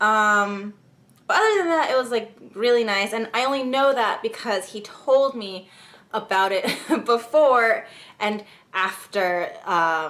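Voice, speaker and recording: Her tone is bright and sharp. The woman speaks at a very slow pace. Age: young. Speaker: YouTuber. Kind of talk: casual vlog talk.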